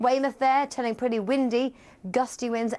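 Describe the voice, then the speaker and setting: A woman speaks at a moderate pace. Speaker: TV presenter. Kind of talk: weather forecast presentation. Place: studio. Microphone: lapel.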